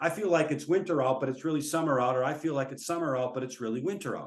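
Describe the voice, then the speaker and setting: A man speaks with an American accent. His fairly high pitch shows ordinary variation. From US Midwest (central Minnesota). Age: 60s. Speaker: professor. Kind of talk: webinar lecture.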